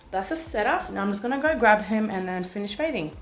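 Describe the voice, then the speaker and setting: Noticeable background noise and audible room echo around a speaking woman. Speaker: family vlogger, mother of two. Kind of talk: casual vlog tutorial. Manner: soft-spoken.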